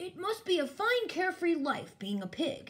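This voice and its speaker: Pitched extremely high, a put-on character voice moves at a moderate pace. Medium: read story. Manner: amused, smiling.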